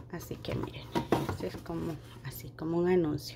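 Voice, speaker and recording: Her tone dark and mellow, a woman talks at a moderate pace with ordinary pitch variation. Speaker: home decor YouTuber. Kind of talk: tutorial. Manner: warm and affectionate.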